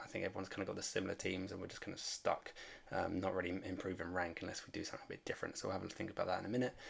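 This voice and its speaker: The speaker is a man. He is soft-spoken. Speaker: fantasy sports content creator. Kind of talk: casual commentary vlog. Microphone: may be quiet.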